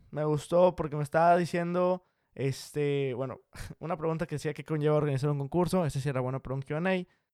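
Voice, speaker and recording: A man speaks very fast, recorded dry and close with no echo. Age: 20s. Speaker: podcast host. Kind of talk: casual solo podcast monologue.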